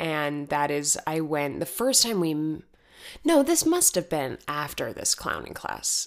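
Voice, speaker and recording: A woman talks at a fairly slow pace. She has an American accent. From Arizona. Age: 20s. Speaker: podcast host. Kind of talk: casual chat.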